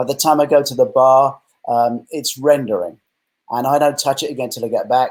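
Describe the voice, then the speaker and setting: A man's fairly high voice with an English accent, at a fairly quick pace, in a flat monotone. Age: 60s. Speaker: retired film director and novelist. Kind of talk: interview.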